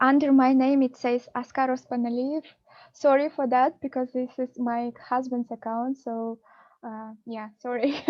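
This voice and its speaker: A woman with a Kazakh accent and a high pitch, monotone, flat intonation, big swings in loudness and a fairly slow pace. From Kazakhstan. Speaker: PhD researcher. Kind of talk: webinar Q&A.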